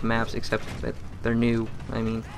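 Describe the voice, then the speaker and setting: A man's voice comes through audible room echo and noticeable background noise. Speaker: gaming commentator. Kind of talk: gameplay commentary. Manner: fast; hesitant, many fillers.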